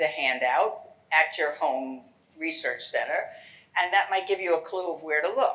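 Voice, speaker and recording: A woman with a New York accent, very wide pitch swings and audible room echo. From New York City. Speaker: genealogy lecturer. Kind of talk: lecture. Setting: lecture hall with audience.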